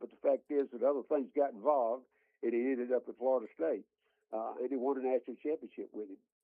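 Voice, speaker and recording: Speaking at a very fast pace, a man has a Southern US accent. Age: 80s+. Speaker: college football analyst. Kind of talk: radio interview. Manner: halting.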